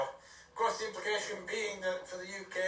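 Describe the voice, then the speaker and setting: Over music in the background, a man speaks at a fairly slow pace amid audible room echo. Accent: British. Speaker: radio news presenter. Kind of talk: news reading. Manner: hesitant with many fillers.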